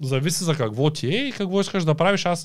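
The speaker is a man. He goes at a moderate pace. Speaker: YouTuber and podcast host; podcast guest. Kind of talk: casual interview. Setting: studio. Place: studio. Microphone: studio mic.

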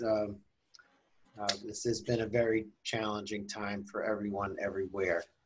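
In an American accent, a man speaks at a fairly low pitch, somewhat breathy, with monotone, flat intonation. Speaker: local politician. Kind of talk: proclamation reading. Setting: video call. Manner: formal.

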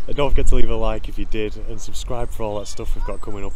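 A man races through his words at a very fast clip, the sound dry and echo-free, with noticeable noise behind him. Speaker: channel host. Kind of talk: casual vlog outro. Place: open country. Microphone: phone near.

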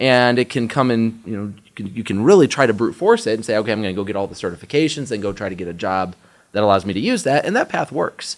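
Talking at a very fast pace, a man shows ordinary pitch variation and big swings in loudness. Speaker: IT trainer. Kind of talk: interview answer. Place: meeting room. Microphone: studio mic.

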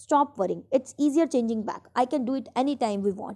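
Her pitch is high and shows ordinary variation. The woman's tone is dark and mellow. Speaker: English teacher. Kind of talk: lecture.

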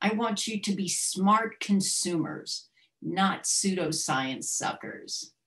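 A woman speaks in a somewhat breathy voice with ordinary pitch variation against a quiet background. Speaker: presenter. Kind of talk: lecture. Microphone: webcam.

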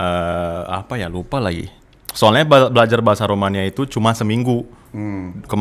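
With ordinary pitch variation, a man's fairly low voice moves at a moderate pace. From Indonesia (Sumatra). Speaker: content creator, language learner; content creator. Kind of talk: casual chat. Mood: relaxed, playful. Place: studio. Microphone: studio mic.

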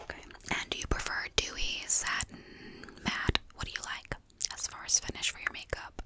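A woman speaks at a moderate pace. The sound is dry with no echo, but the background noise is loud. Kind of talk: roleplay consultation talk. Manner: soft, hushed ASMR voice. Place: home room.

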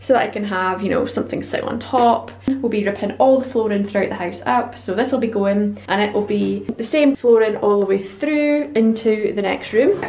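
Over light background noise, a woman talks at a moderate pace with ordinary pitch variation and hardly any pauses. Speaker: vlogger. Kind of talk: casual vlog chat. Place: home room. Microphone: phone near.

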